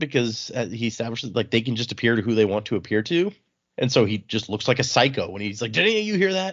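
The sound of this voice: The background stays quiet while an unforced reading voice carries on.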